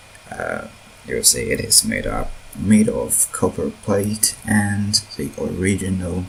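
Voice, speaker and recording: There is noticeable background noise. Through it, a man with a non-native accent speaks at a very slow pace. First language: not English. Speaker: mod developer. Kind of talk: tutorial. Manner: halting, with fillers and repeats.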